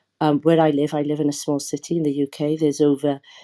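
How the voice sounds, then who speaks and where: A woman with a British accent speaks at a fairly quick pace in a very deep, low pitch with a dark, mellow tone. Her intonation is monotone and flat, and the background is quiet. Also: dry, close sound with no echo. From UK, Somali heritage. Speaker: charity worker. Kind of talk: heated debate. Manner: halting.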